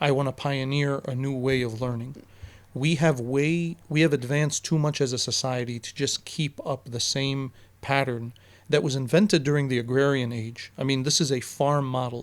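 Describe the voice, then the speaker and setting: On a very clean recording with a silent background, a man with an Arabic accent and a fairly high pitch speaks at a moderate pace with fairly even intonation. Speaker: teacher. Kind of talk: casual podcast interview.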